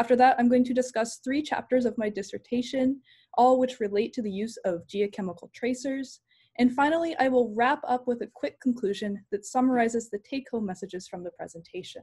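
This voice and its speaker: A woman speaks with a high pitch and a dark, mellow tone. Her pitch varies in an ordinary way over a quiet background. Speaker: PhD candidate. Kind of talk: lecture. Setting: video call. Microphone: video call.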